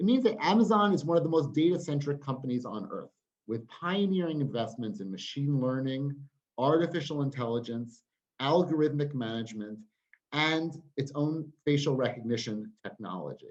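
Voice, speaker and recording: With an American accent, a man with an unremarkable speaking voice talks at a moderate pace, his fairly high pitch carried by lively intonation. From United States. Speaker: trade union campaigns director. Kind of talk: webinar talk.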